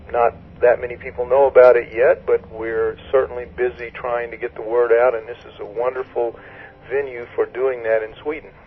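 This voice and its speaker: At a moderate pace, a voice with monotone, flat intonation and big swings in loudness comes through noticeable background noise. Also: man, medium pitch for a man. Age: 60s. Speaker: author and researcher. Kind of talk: radio interview. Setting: phone call.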